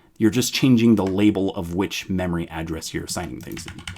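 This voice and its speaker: Here is a man with a normal speaking voice. His pitch is fairly low and his intonation lively. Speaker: programming educator. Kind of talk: live-streamed coding tutorial. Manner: casual, filler-heavy explanation.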